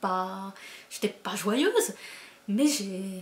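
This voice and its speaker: This woman speaks at medium pitch. Her voice is somewhat breathy. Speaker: booktuber, book reviewer. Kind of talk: casual book review vlog. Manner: animated, hesitant with many fillers and repetitions.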